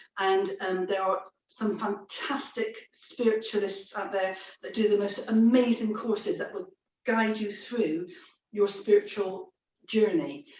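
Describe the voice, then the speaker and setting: A woman speaks in a plain, everyday voice at a fairly high pitch. Her pace is fairly slow and her intonation fairly even. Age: 60s. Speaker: psychic medium. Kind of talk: interview.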